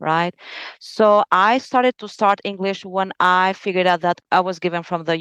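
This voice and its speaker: The speaker has an Albanian accent. The sound is dry and close, with no echo, over a quiet background. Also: woman. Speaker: lawyer. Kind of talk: interview.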